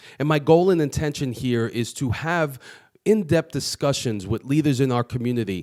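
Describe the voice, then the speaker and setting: Speaking at a moderate pace, a man with a plain, everyday voice and medium pitch uses lively intonation, in a dry, close sound with no echo on a very clean recording with a silent background. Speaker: podcast host. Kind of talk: show intro to camera.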